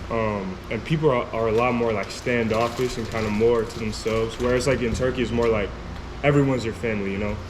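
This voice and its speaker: Amid noticeable background noise and audible room echo, a man talks at a very fast pace with a medium pitch and fairly even intonation. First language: Turkish. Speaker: music artist team member. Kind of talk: interview. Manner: hesitant, many fillers.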